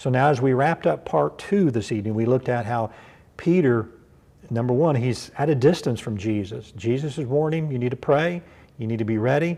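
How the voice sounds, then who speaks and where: Speaking at a fairly quick pace, a man with a Kentucky accent has a dark, mellow tone. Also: medium pitch for a man, lively intonation. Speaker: pastor. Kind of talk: bible study sermon. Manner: conversational, repetitive with fillers.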